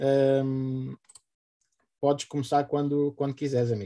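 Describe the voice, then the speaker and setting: The speaker has a European Portuguese accent. The sound is dry and close, with no echo. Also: man. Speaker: event host. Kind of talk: formal introduction. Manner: halting.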